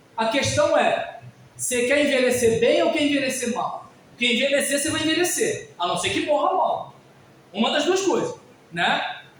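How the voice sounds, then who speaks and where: A man with an extremely high pitch and lively intonation talks at a moderate pace, with noticeable background noise and audible room echo. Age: 50s. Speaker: pastor. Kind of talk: sermon. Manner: conversational, informal.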